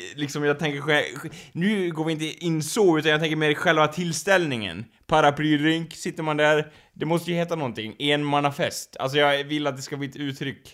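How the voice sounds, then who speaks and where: Fairly high in pitch, a man talks with fairly even intonation. The recording is very clean, with a silent background. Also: fairly quick pace. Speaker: podcast co-host. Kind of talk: casual chat. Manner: uneven, poorly controlled voice.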